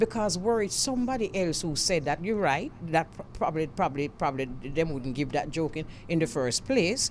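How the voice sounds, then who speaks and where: Speaking at a moderate pace in a Jamaican accent, a woman's voice moves through very wide pitch swings. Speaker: radio host. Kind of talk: radio talk show discussion.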